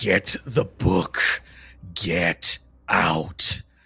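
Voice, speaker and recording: Using a put-on character voice, a man sounds raspy and very deep and low in pitch. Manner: screaming.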